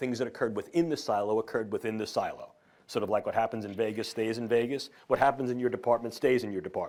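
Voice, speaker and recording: A man with a New York accent talks very fast with fairly even intonation. The recording is very clean, with a silent background. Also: medium pitch for a man. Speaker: neuroscientist. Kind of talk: lecture. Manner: formal.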